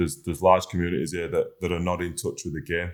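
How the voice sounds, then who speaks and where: A man's very deep, low voice in a northern English accent, in a very clean recording with a silent background. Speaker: rugby league player, team captain. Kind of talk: podcast interview. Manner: halting, many fillers.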